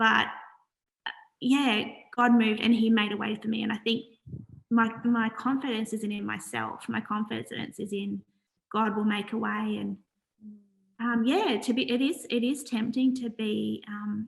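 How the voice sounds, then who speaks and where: Speaking at a moderate pace with long, frequent pauses, a woman with an Australian accent uses a fairly high pitch and fairly even intonation. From Australia, Wollongong NSW. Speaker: charity founder. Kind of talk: interview.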